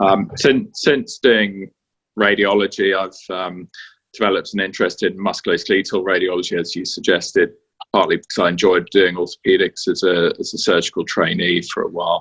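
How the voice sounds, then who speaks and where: Speaking with a British accent at a fairly quick pace, a man is recorded with a dry, close sound and no echo. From UK. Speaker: radiologist. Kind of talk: interview. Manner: hesitant, many fillers.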